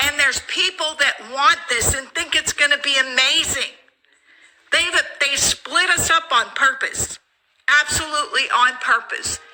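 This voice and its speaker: A woman's high, raised, projected voice with ordinary pitch variation. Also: fairly slow pace. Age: 50s. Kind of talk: emotional rant to camera.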